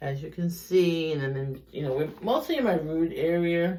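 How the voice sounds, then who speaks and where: The speaker has a Brooklyn accent. The pace is moderate. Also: woman. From US Northeast, Brooklyn, New York. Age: 50s. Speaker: beauty vlogger. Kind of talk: tutorial. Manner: casual, rambling with fillers.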